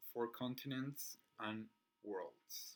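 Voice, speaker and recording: A man with a Spanish accent speaks in a bright, sharp tone. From Chile. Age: 20s. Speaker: figure skating vlogger. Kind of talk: casual chat. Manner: halting.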